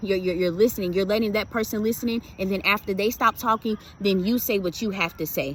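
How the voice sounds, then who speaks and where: A woman talks at a very fast pace in a medium pitch. Her voice is somewhat breathy, with fairly even intonation. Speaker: motivational video creator. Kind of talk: motivational talk to camera. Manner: casual, repetitive with fillers.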